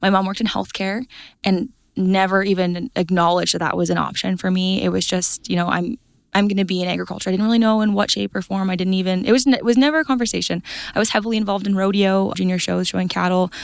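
With an Albertan accent, a woman talks at a very fast pace, medium pitch and ordinary pitch variation. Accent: Canadian (Alberta). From central Alberta, Canada. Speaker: agricultural account manager and cattle producer. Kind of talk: interview. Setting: conference.

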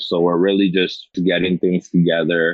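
Very deep and low, a man's voice moves at a moderate pace with monotone, flat intonation. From Rockland County, New York. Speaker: college basketball player. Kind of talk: casual interview.

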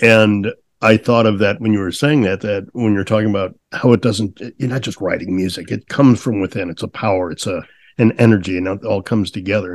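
A man speaks at a fairly quick pace in a normal speaking voice, fairly low in pitch. His intonation stays fairly even over a quiet background. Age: 60s. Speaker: podcast host. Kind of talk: casual interview chat.

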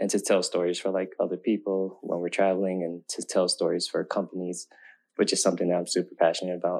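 Someone with an American accent speaks at a fairly quick pace against a quiet background. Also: man. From US West Coast, Oakland. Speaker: filmmaker and content creator. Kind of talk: casual interview.

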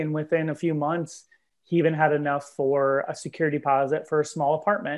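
An unremarkable speaking voice, fairly quick and fairly high-pitched, belonging to a man. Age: 30s. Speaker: nonprofit director. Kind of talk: casual interview.

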